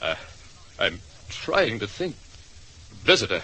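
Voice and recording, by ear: Slowly and with big pitch swings, a man does a put-on character voice that is fairly low in pitch and bright, sharp in tone.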